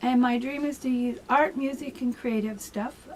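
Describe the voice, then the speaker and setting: A woman at a high pitch with a Canadian accent, at a moderate pace. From Canada (Ontario). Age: 60s. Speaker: vlogger. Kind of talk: casual personal monologue. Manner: hesitant, many fillers.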